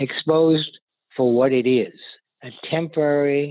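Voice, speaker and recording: Here a man speaks in a fairly high voice. His intonation stays fairly even. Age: 80s+. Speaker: author and professor. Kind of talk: interview answer.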